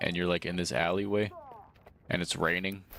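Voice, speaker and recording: Noticeable background noise sits behind a man talking in a very deep, low pitch. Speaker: gaming streamer. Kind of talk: live gameplay commentary. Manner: casual, slangy.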